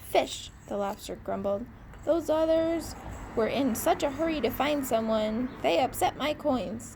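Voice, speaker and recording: A woman's put-on character voice, high-pitched and growling, at a fairly slow pace over clear background noise. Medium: read story. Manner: growling, grumbling.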